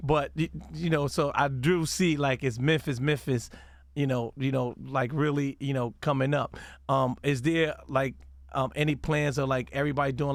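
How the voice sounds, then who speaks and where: A man with an American accent speaks at a moderate pace in a fairly high voice with fairly even intonation. The recording is very clean, with a silent background. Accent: New York accent, noticeable to Southerners. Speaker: radio DJ and interviewer. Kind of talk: casual interview. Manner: halting, many fillers.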